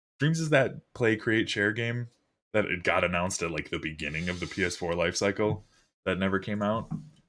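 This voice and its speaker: At a moderate pace, a man talks at a fairly low pitch. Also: lively intonation, very clean recording, silent background. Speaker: gaming podcast host. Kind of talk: casual chat. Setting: livestream. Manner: animated.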